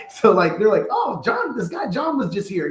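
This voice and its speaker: A man is speaking. His voice is loud. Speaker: construction company owner. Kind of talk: podcast interview. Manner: casual, animated.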